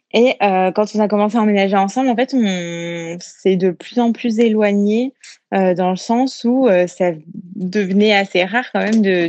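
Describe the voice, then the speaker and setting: A woman speaks with a medium pitch. Her pace is very slow. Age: 20s. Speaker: listener leaving a voice message. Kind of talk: recorded voice message. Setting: phone voice message.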